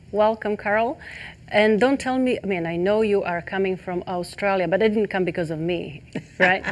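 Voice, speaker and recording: With a non-native accent, a woman speaks at a moderate pace in a medium-pitched voice with ordinary pitch variation. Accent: foreign. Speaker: talk show host. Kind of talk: interview. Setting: studio set. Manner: halting.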